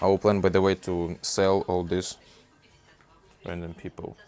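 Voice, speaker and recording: Music plays behind a man whose very deep, low voice moves very slowly in a monotone, flat delivery. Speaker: college student. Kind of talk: casual vlog talk to camera.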